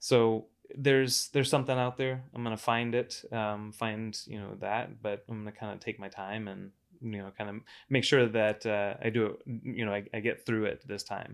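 A man with an unremarkable speaking voice talks at medium pitch and a moderate pace, his intonation fairly even but his loudness swinging widely, on a very clean recording with a silent background. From Florida, Cocoa Beach area. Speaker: IT professional and business buyer. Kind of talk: casual interview.

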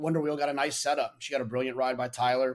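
Very fast speech from a man, medium in pitch, intonation fairly even. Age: 40s. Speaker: horse racing handicapper, podcast co-host. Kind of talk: casual chat. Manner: halting, repeats words.

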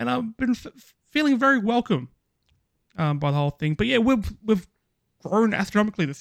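With an Australian accent, a man speaks at a high pitch and a fairly quick pace, broken by long, frequent pauses. His pitch swings very widely and his loudness rises and falls in big swings. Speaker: gaming podcaster. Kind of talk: casual chat.

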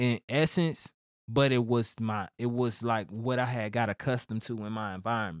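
At a moderate pace and medium pitch, a man talks with a Houston accent. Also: ordinary pitch variation, very clean recording, silent background. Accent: Houston Southern US. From Missouri City, Houston area, Texas. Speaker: rapper. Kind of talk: casual interview.

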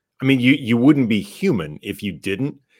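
A man talks at a medium pitch. His voice has vocal fry. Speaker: podcast host. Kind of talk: casual chat.

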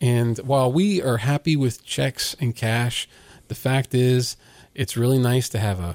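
A plain, everyday voice from a man with an American accent, medium pitch and ordinary pitch variation. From Virginia, US. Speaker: lawn care business owner. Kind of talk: casual interview.

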